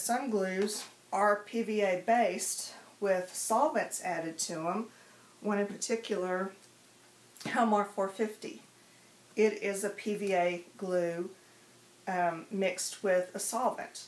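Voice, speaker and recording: With long, frequent pauses and a very slow pace, a woman speaks with ordinary pitch variation amid audible room echo. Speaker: craft tutorial host. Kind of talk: tutorial. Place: home room.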